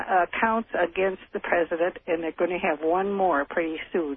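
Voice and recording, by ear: The sound is dry and close with no echo, the delivery at a moderate pace with ordinary pitch variation. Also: man.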